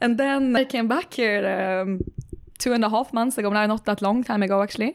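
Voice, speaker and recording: Speaking at a fairly quick pace with a Swedish accent, the voice keeps a very even loudness. Its pitch varies in an ordinary way. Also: woman, fairly high pitch for a woman. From Sweden. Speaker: tech startup CEO. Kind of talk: interview.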